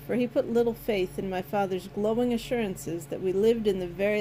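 This is plain reading aloud. Nothing else is marked.

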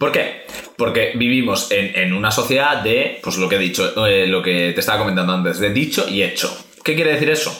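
A man speaks at a fairly quick pace in a fairly low pitch, with lively intonation and very even loudness. Audible room echo and noticeable background noise fill the recording. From Spain. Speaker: podcast co-host. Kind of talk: casual chat.

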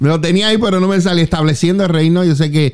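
With noticeable background noise behind him, a man speaks in an animated tone. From Puerto Rico, Juana Díaz. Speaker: pastor, radio host. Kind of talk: casual chat.

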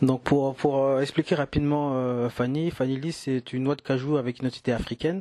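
Medium in pitch, a man talks at a moderate pace with fairly even intonation. He leaves hardly any pauses. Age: 30s. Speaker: entrepreneur, business partner. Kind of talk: casual conversation. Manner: halting, frequent hesitations.

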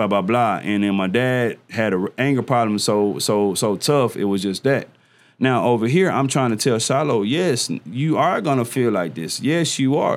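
In a very clean recording with a silent background, a man talks at a moderate pace with a medium pitch and lively intonation. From Dallas, Texas. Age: 40s. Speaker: community leader. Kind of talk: casual interview conversation.

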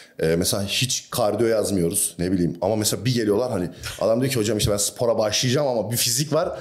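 Someone talks at a very fast pace with ordinary pitch variation, and audible room echo fills the recording. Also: man. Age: 20s. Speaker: bodybuilder and fitness coach. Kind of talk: casual chat.

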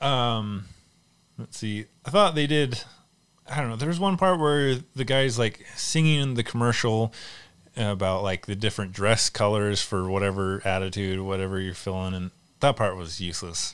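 A man with a fairly low pitch speaks at a moderate pace with lively intonation in a normal speaking voice, on a very clean recording with a silent background. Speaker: movie podcast host. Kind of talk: casual chat.

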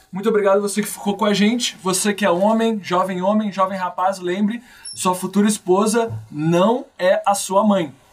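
A man's high voice with fairly even intonation and very even loudness, over noticeable background noise. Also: moderate pace. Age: 20s. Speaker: podcast host. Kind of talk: casual chat.

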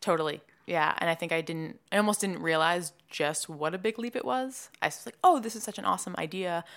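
Fairly quick and with hardly any pauses, a woman with an unremarkable speaking voice talks with an American accent, her pitch fairly low and its variation ordinary. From Massachusetts, near Boston. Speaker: marketing agency founder. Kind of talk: interview.

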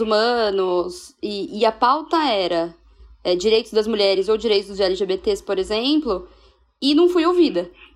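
Her pitch is fairly high and swings very widely. The woman speaks at a fairly slow pace. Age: 20s. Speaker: journalist. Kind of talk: casual chat.

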